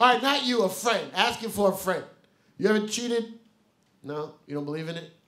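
A bright, sharp, animated tone with lively intonation, big swings in loudness, a fairly quick pace broken by long, frequent pauses, and a quiet background. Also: man, high pitch for a man. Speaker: comedian and podcast host; comedian, podcast host. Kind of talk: live comedy podcast banter. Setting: stage with live audience. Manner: animated, joking, loud. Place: stage.

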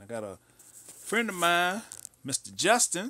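A man's bright, sharp voice moves through very wide pitch swings. The recording is dry with no echo and has a quiet background. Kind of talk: tutorial. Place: studio. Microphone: phone near.

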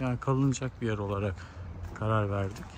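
Recorded dry with no echo, a man speaks with ordinary pitch variation over light background noise. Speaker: travel vlogger. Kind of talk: casual vlog chat. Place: street. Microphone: phone near.

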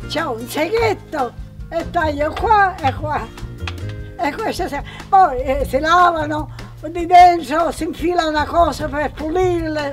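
Over faint music in the background, a woman speaks at a very slow pace with long, frequent pauses. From Sicily, Favignana island. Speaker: home cook. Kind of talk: casual explanation while cooking.

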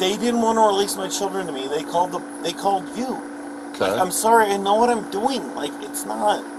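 Noticeable background noise behind a man's fairly quick pace. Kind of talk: agitated explanation to officer. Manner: drunk, agitated and defensive. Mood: upset, defensive. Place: street. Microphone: camera far.

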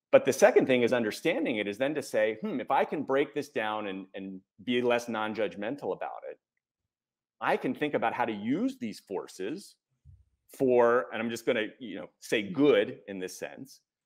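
Against a quiet background, a man with an American accent talks at a moderate pace, with big swings in loudness and long, frequent pauses. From United States. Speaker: executive coach and author; executive coach. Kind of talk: interview. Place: home room. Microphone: earbuds.

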